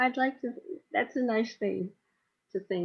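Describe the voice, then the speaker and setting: A woman speaks at a fairly slow pace, somewhat breathy. Her pitch variation is ordinary. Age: 70s. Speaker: co-host of a community discussion circle. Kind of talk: casual group chat. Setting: video call. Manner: halting.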